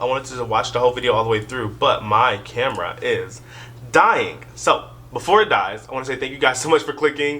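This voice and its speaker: Noticeable background noise runs through the recording. A man speaks at a fairly quick pace. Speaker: YouTube reaction creator. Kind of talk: casual vlog talk to camera. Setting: in her room, filming herself. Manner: quiet.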